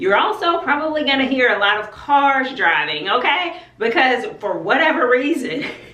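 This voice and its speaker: Over noticeable background noise and audible room echo, a woman with a high pitch talks at a moderate pace in an animated tone, her pitch swinging very widely. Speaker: homeschooling YouTuber. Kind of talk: casual vlog talk. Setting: outdoors.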